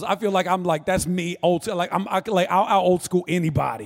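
With an American accent, a man speaks at a fairly quick pace and a high pitch. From North Florida. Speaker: pastor. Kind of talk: sermon. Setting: church stage with audience.

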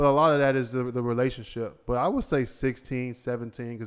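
This man has a normal speaking voice at medium pitch. His intonation stays fairly even. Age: 40s. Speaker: podcast host. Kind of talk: casual chat.

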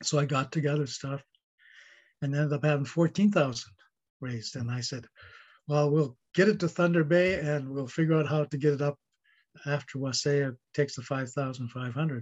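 Somewhat breathy delivery at a moderate pace, with fairly even intonation and long, frequent pauses. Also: man, fairly high pitch for a man. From northern Ontario, Canada (Ojibwe First Nation). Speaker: pastor. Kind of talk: interview. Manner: stuttering; halting.

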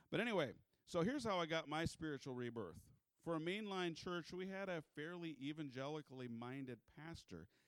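A man with an American accent speaks at a fairly quick pace in a fairly high pitch. His intonation is lively, and it's an unremarkable speaking voice. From US Midwest, South Dakota. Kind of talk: church talk about his ministry. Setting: church with congregation.

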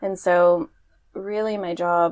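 With an American accent, a woman with an unremarkable speaking voice and fairly low pitch speaks with fairly even intonation in a very clean recording with a silent background. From Portland, Oregon. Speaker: podcast co-host, marketing manager. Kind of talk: casual chat.

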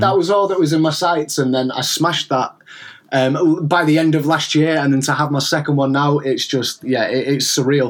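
A man with a fairly high pitch, fairly even intonation and a fairly quick pace, amid noticeable background noise. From northern England, near Crewe, Cheshire. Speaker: lo-fi music producer. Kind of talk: interview.

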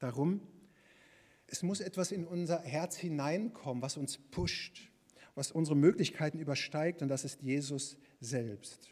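A fairly slow-paced man with a fairly high pitch. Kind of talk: sermon. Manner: warm, earnest and encouraging, with pastoral emphasis; conversational, plain-spoken, lively, and addressing the congregation directly.

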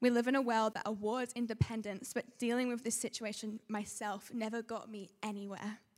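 A woman in an Australian accent speaks fairly quickly with hardly any pauses, her fairly high voice held in a monotone, flat intonation. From Sydney, Australia. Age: young. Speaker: church member. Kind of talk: testimony.

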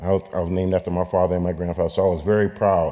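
Very fast and very deep, a man's low voice comes through with a dark, mellow tone. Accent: American. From California. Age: 60s. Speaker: coach and speaker at a church gathering. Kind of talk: testimony.

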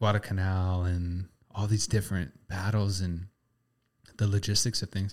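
In a very clean recording with a silent background, a man with a very deep, low pitch speaks at a moderate pace, leaving long, frequent pauses. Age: 20s. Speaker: photographer and videographer. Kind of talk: casual chat. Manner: casual, animated.

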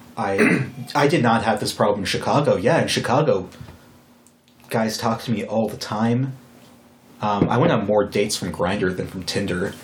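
A fairly low male voice at a moderate pace, with ordinary pitch variation, long, frequent pauses, noticeable background noise and audible room echo. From Wyoming. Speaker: podcast host. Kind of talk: casual chat.

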